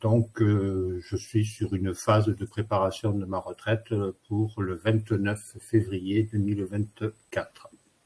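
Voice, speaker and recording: A man speaks at a very slow pace in a fairly low, dark and mellow voice that is somewhat breathy, with monotone, flat intonation. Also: hardly any pauses. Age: 60s. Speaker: worker nearing retirement. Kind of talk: testimony. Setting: online webinar.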